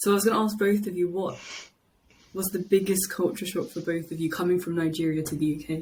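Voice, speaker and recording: At a fairly quick pace, a woman speaks in a somewhat breathy voice with ordinary pitch variation. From London, England. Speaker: podcast guest, podcast host. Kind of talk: casual chat.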